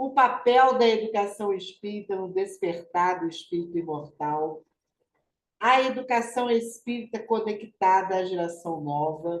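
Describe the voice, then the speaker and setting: A woman with a normal speaking voice talks at a fairly slow pace, at medium pitch and with ordinary pitch variation. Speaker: spiritist study group coordinator. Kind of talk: online study group announcements. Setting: video call.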